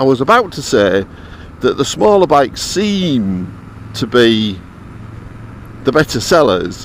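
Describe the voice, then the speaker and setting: Against noticeable background noise, a man with a fairly high pitch talks fairly slowly with very wide pitch swings. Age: 70s. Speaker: motorcycle vlogger. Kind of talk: casual vlog monologue. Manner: hesitant, repeats words.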